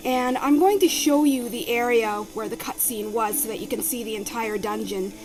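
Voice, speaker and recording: A soft-spoken woman with a fairly high voice and lively intonation, big swings in loudness and hardly any pauses, with audible room echo and noticeable background noise. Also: moderate pace. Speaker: video game let's play commentator. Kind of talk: casual game commentary.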